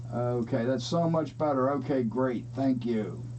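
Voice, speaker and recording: Audible room echo surrounds a man's voice. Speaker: model railroad youtuber hosting a live stream. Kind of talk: casual live stream chat. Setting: live stream with chat viewers. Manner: hesitant, many filler words. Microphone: too quiet at first, volume raised.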